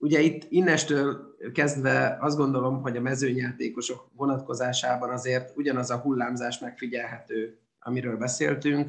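A man's medium-pitched voice at a moderate pace, hardly any pauses, fairly even intonation. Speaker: handball analyst. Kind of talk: casual sports discussion. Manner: hesitant, repeats words.

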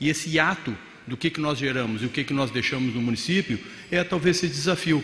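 Over noticeable background noise, a man speaks at a fairly quick pace, with a fairly high pitch and ordinary pitch variation. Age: 50s. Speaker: mayor. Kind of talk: conference talk. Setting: stage with audience.

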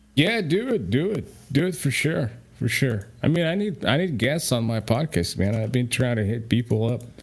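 At a moderate pace with hardly any pauses, a man speaks at medium pitch, somewhat breathy, his pitch swinging very widely. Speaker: listener joining the show. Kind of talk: casual chat. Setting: online voice chat. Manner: laughs often, halting.

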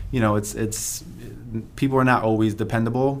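In an American accent, a man speaks at a fairly low pitch with monotone, flat intonation, and audible room echo is present. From Pennsylvania. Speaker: entrepreneur. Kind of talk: interview.

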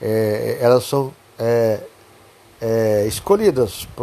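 A man speaks with lively intonation. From southern Brazil, Pelotas area. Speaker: podcaster telling life stories. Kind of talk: personal storytelling monologue. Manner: halting, many repetitions.

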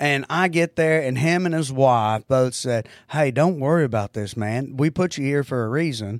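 With a strong Oklahoma accent, a man speaks at a fairly quick pace in an animated tone, his fairly high pitch showing ordinary variation on a very clean recording with a silent background. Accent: strong Southern-type Oklahoma. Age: 40s. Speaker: comedian. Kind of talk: casual chat. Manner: animated and crude.

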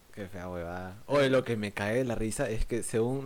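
A man talks in a medium register, with pitch that moves in an ordinary way. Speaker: podcast co-host. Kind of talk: casual chat.

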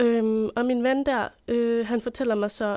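A woman speaks at a very slow pace. Her voice is fairly high, with a dark, mellow tone. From Denmark, Copenhagen. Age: 20s. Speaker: journalism student. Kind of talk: interview storytelling. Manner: hesitant, many fillers.

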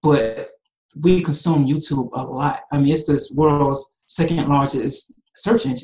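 Somewhat breathy speech comes at a very slow pace with ordinary pitch variation. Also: man. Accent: American. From US South, Atlanta, Georgia. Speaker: animal rights activist. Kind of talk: casual chat.

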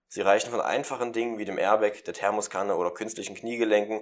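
On a very clean recording with a silent background, a man of medium pitch speaks at a very fast pace. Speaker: student radio presenter. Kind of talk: casual chat; humorous poem reading.

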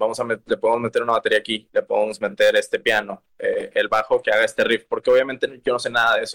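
Talking at a fairly quick pace, a man comes across in a dry, close sound with no echo. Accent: Mexican. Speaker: singer-songwriter. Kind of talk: casual interview.

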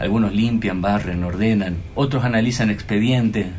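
A man speaks at a moderate pace in a fairly low pitch with ordinary variation. Audible room echo and noticeable background noise are present. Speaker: radio host. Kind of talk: scripted narration; radio interview. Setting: radio studio.

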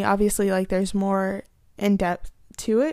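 The recording is very clean, with a silent background. A woman speaks at a medium pitch and a moderate pace. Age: 20s. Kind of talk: casual personal talk and testimony.

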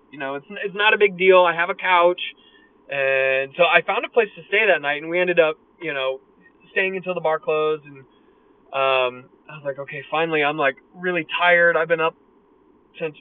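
Here a man with an American accent speaks in a high voice with fairly even intonation. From USA. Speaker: vlogger. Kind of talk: casual monologue. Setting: in a car. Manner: hesitant, filler-heavy.

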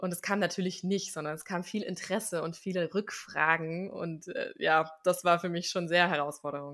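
A woman talks at a fairly low pitch with an unremarkable speaking voice. Her intonation is fairly even and she hardly pauses. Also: moderate pace. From Swabia, southern Germany (village near Stuttgart). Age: 30s. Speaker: actress and life coach. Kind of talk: interview.

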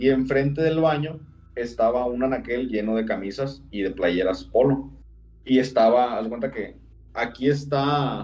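There is audible room echo around a man's medium-pitched voice. He speaks at a fairly slow pace with ordinary pitch variation. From Sinaloa, Mexico. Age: 30s. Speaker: storyteller of personal paranormal experiences. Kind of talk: casual storytelling.

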